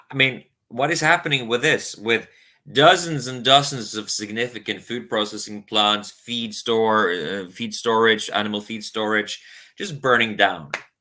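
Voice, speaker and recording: A man with a Norwegian accent and a bright, sharp tone, at a moderate pace, with big swings in loudness, in a very clean recording with a silent background. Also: medium pitch for a man, ordinary pitch variation. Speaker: spiritual YouTuber. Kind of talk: casual monologue vlog. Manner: halting, many fillers.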